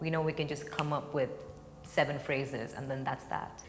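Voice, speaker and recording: A woman with a Marathi accent speaks at a very deep, low pitch, with audible room echo and noticeable background noise. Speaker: contemporary dancer. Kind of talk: interview talk.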